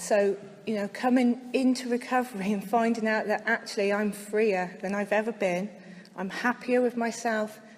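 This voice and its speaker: A woman with a slight West Country accent, medium pitch, fairly even intonation and a moderate pace. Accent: slight West Country twang. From West Country, near Bristol. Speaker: speaker at recovery convention. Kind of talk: recovery share to audience.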